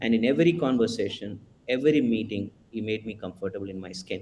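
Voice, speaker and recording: The speaker has a strong Indian accent. The pace is very fast. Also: man. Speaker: HR executive panelist. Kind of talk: webinar panel discussion.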